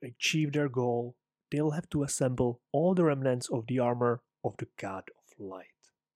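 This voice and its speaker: A man with a Czech accent at a fairly slow pace, in a dry, close sound with no echo. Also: very clean recording, silent background. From Czech Republic. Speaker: podcast host, English teacher and aspiring writer. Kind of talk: casual solo podcast monologue.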